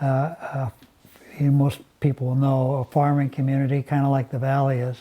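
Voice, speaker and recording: A man with an American accent speaks at a moderate pace in a dark, mellow tone that is somewhat breathy. His pitch is fairly high, and his intonation stays monotone and flat. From Seattle, US Pacific Northwest. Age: 70s. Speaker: former business executive. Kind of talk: interview. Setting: live stream interview.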